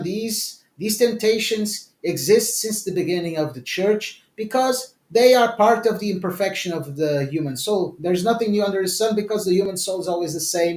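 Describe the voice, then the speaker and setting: A high-pitched man with ordinary pitch variation. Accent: Portuguese. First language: Portuguese. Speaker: author. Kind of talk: interview. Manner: hesitant, with many fillers and repetitions.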